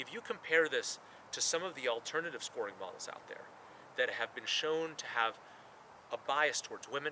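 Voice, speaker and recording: The speech moves at a moderate pace. Noticeable background noise is audible throughout. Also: man. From Mexico. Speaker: startup CEO. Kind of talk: promotional video interview takes. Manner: natural, conversational.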